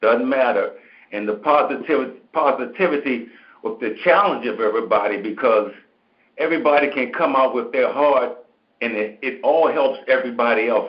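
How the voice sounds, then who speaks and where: A man's normal speaking voice at a moderate pace, with ordinary pitch variation. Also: medium pitch for a man. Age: 60s. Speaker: caller on a call-in show. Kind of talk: casual chat.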